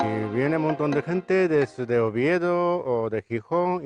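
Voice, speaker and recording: A man with a Japanese accent, lively intonation, and a dry, close sound with no echo. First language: Japanese (speaking Spanish). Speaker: restaurant owner and chef. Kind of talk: interview. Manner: halting.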